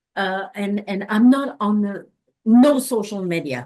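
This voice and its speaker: A woman with a Quebec accent talks at a fairly slow pace in a medium-pitched, dark, mellow voice that makes very wide pitch swings. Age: 70s. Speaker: anthropologist and sex worker rights activist. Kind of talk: interview. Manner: halting.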